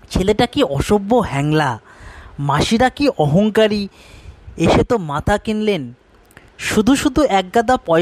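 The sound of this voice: The intonation is lively. The reading voice is unforced.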